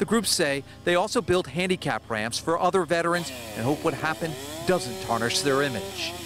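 A man's fairly high, fairly quick voice with very wide pitch swings, dry with no echo, over clear music in the background. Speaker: TV news reporter. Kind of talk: news reporting, live field report in a crisp, polished broadcast delivery. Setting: outdoors, live on location. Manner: formal, steady, authoritative.

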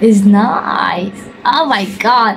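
A woman speaks at a very slow pace, her pitch medium and its variation ordinary. Her tone is fairly bright, with faint background noise behind her.

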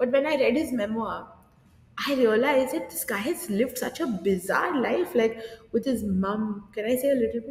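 A woman's high-pitched voice at a moderate pace, with audible room echo. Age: 30s. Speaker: drama teacher; podcast guest, drama teacher. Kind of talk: casual interview. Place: studio.

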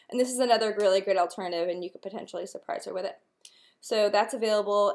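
A woman at a very fast pace with fairly even intonation, over a quiet background. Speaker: nail wrap seller. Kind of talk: casual vlog chat. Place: home room. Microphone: webcam.

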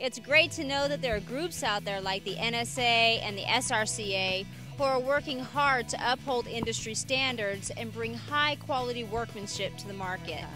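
Over music in the background, a woman speaks at a moderate pace with hardly any pauses. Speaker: TV reporter. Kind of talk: on-location TV news reporting.

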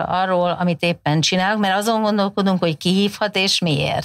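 A woman talks at a moderate speed with little sound in the background. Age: 50s. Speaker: communication researcher, professor; professor. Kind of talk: interview conversation. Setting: studio. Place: studio. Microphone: lapel.

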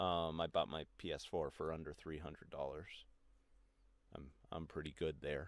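A man speaks at a very deep, low pitch with vocal fry and monotone, flat intonation. His pace is fairly slow, broken by long, frequent pauses. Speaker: video game commentator. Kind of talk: angry rant. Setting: solo video recording. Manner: angry, swearing, indignant.

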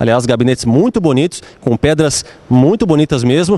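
A man talks with a Brazilian accent. His tone is animated and upbeat, with very wide pitch swings. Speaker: store promo presenter. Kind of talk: street-seller pitch in a store, promotional ad. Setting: in a store, shown on screen. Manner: animated, fast, upbeat hard-sell pitchman; repetitive, emphatic, talking straight to the viewer. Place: shop. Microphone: handheld.

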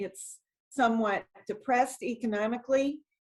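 A woman with a fairly high pitch, ordinary pitch variation, an ordinary speaking voice, and an American accent. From New England, Brockton, Massachusetts. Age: 60s. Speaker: city council member. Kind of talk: interview.

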